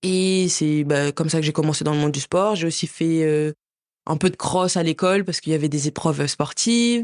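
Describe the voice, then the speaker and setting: Recorded with a dry, close sound, no echo and a quiet background, a woman with a very deep, low pitch speaks at a fairly quick pace with ordinary pitch variation. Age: 20s. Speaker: figure skater. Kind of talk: interview.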